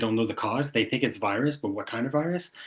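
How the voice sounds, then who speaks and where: The speaker is a man with a Quebec accent. Behind him the background is quiet. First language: French. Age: 60s. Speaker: tinnitus sufferer, retired IT professional. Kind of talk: personal testimony in interview. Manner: halting.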